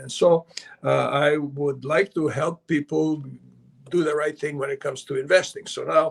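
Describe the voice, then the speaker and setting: Pitched fairly high, a man speaks with fairly even intonation. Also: moderate pace, dry, close sound with no echo. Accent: Serbian. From Canada, born in Belgrade, Serbia. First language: Serbian. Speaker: investment advisor and author. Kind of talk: interview.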